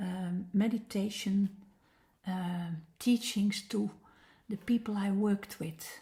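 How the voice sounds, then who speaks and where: A woman with a Dutch accent speaks very slowly in a flat monotone, her dark, mellow tone somewhat breathy. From Netherlands. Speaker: meditation teacher. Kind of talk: personal introduction talk. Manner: halting, many fillers.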